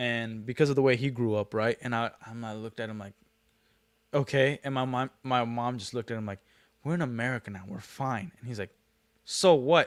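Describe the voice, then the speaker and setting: On a very clean recording with a silent background and a dry, close sound with no echo, a man speaks at a fairly quick pace and medium pitch, with ordinary pitch variation and big swings in loudness. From Brazil, raised in Kearns, Utah from age five. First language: Portuguese. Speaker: livestreamer, former franchise owner. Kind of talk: casual livestream chat. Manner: sing-song up and down intonation; clear, careful enunciation.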